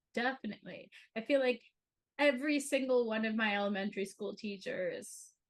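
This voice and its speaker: Fairly high-pitched and somewhat breathy, a woman with an American accent talks in an animated tone with ordinary pitch variation. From US Northeast, northern New Jersey. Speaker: podcast co-host. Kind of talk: casual chat.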